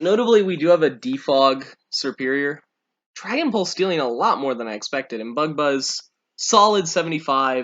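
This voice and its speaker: A man's intonation is lively. His pace is moderate. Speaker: video game commentator. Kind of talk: live commentary.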